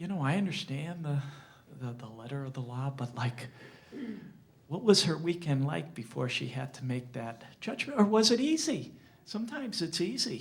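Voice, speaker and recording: A man speaks at a moderate pace with a fairly high pitch and a somewhat breathy quality. His pitch swings very widely, and the room echo is audible. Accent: American. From Springfield, Massachusetts, US. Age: 60s. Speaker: journalist. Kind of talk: talk to an audience. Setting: library lecture with audience. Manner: halting, many repetitions.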